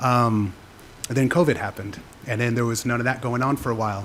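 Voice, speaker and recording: A man speaks at a fairly quick pace and medium pitch, his intonation fairly even, over noticeable background noise. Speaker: public commenter, teacher. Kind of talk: public comment at council meeting. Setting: city council chamber. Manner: unprepared, halting.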